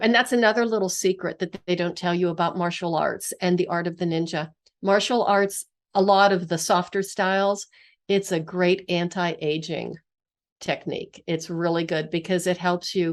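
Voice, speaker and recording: A woman with a plain, everyday voice in an American accent, medium pitch, fairly even intonation, and a moderate pace over a quiet background. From US, western Pennsylvania. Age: 60s. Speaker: physical therapist and author. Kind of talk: interview conversation.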